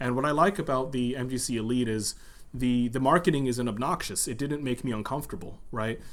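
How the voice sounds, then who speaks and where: At a fairly quick pace, a man speaks at medium pitch with ordinary pitch variation. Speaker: cube reviewer, YouTuber. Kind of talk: casual one-take video review. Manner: hesitant, many fillers and repeats.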